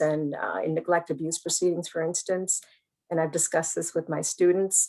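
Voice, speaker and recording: Fairly low for a woman, her voice has vocal fry and fairly even intonation. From India. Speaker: law professor and family law attorney. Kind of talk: panel discussion. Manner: halting, many fillers.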